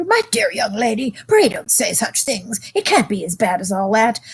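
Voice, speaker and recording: A woman uses a put-on character voice that is shaky and whiny. It sits at a fairly high pitch and moves at a moderate pace. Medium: read story. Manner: whining, trembling.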